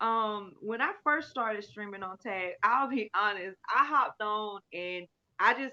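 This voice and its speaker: Energetic and bright with a sharp tone, a woman with a fairly high pitch speaks at a fairly slow pace in a dry, close sound with no echo. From US South, Alabama. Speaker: livestreamer. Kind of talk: casual chat. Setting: livestream. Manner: loud.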